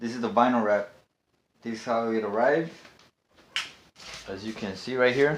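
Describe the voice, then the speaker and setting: A man talks at a medium pitch with fairly even intonation. He leaves long, frequent pauses. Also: moderate pace. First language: not English. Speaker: car rebuilding YouTuber. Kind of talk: casual vlog. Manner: halting with many fillers.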